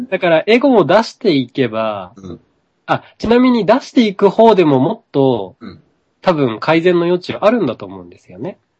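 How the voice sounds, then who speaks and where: This man talks at a moderate pace in a high pitch, with very wide pitch swings. His loudness swings a lot. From Japan. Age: 30s. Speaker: yoga practitioner and spiritual teacher. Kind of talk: casual chat.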